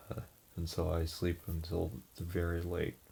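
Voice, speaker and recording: The voice is quiet, dark and mellow, with some breathiness. It moves at a fairly slow pace. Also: man. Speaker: vlogger giving personal updates. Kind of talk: casual personal update. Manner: hesitant, many fillers.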